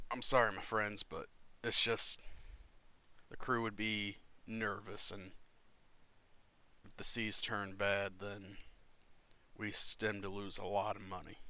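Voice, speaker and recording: In a put-on character voice, the speaker delivers raspy, monotone lines at a fairly slow pace, broken by long, frequent pauses. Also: man, fairly low pitch for a man. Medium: actual play. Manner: polite, hesitant.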